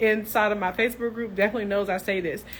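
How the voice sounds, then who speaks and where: The voice carries a Tennessee accent. Its tone is animated. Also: woman. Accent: Tennessee Southern. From US South, Tennessee (Clarksville). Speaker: nurse entrepreneur, business coach. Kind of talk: live stream chat with viewers. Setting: live social media stream. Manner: animated, casual.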